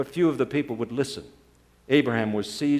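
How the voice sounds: A natural reading voice. The pitch moves in an ordinary way.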